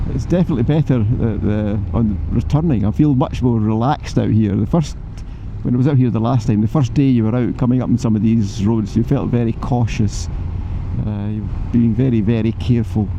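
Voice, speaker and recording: Noticeable background noise accompanies a man with a Scottish accent. He talks fairly quickly at a medium pitch, with ordinary pitch variation. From Scotland. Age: 70s. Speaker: motorcycle vlogger. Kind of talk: vlog narration while riding. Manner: animated.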